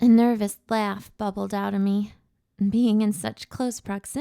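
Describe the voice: Someone reads aloud plainly with fairly even intonation over a quiet background.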